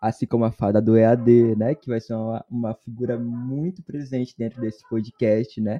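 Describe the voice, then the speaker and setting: This is a normal speaking voice: a man at medium pitch, talking at a moderate pace with hardly any pauses and fairly even intonation. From Brazil, Espírito Santo. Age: 20s. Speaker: university student podcast host. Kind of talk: casual chat.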